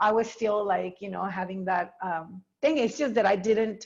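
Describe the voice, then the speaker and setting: A woman with a plain, everyday voice talks at medium pitch with ordinary pitch variation against a quiet background. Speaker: dance teacher. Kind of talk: interview.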